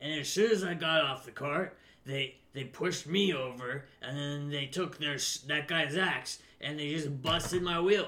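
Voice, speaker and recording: At a moderate pace, a man does a put-on character voice in a fairly high pitch. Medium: actual play. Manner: complaining, agitated.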